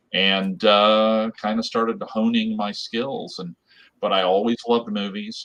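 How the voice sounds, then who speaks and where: A man speaks fairly slowly with an American accent. His intonation stays fairly even. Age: 60s. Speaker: artist, illustrator. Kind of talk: interview. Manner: halting, repetitive fillers.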